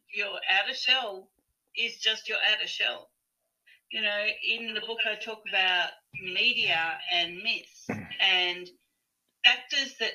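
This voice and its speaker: In an Australian accent, a woman speaks very slowly with a fairly high pitch and a bright, sharp tone. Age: 50s. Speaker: holistic health practitioner and author. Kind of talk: casual interview chat.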